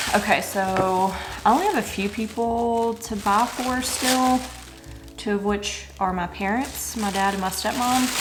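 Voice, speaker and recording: Music plays in the background and room echo is audible. A woman speaks at a fairly slow pace in a fairly high pitch. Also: fairly even intonation. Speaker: vlogger. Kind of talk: casual vlog talk. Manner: chatty, filler-heavy.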